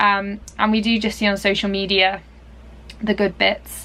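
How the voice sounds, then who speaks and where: A woman with an English accent speaks at a medium pitch with a bright, sharp tone. Her intonation is monotone and flat. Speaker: dressage rider and vlogger. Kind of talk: casual vlog talk. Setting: at a showground. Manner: quiet.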